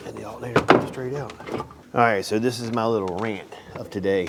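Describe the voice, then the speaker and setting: Speaking at a fairly quick pace with ordinary pitch variation, a man is heard over noticeable background noise in a room with audible echo. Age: 60s. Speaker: auto mechanic. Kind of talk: casual workshop tutorial with rant. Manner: halting, stumbling over words.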